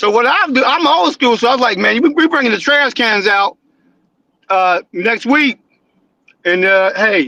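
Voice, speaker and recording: With an American accent, a man projects a raised voice at an extremely high pitch, bright and sharp in tone and very even in loudness. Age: 60s. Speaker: caller. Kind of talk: phone call-in. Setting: phone call.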